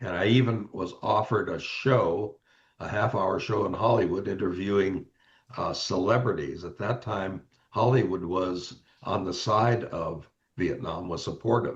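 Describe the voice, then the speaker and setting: Somewhat breathy and fairly low-pitched, a man speaks fairly slowly with ordinary pitch variation. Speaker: Marine Corps Vietnam veteran. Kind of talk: interview answer. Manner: hesitant, repetitive.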